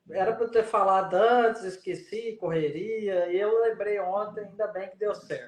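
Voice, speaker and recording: A man with a Goiás accent talks at a high pitch with hardly any pauses, his loudness swinging widely. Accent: Goiás accent, somewhat Minas-like. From Goiás, Brazil. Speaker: rheumatologist. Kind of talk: live stream interview. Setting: online live stream.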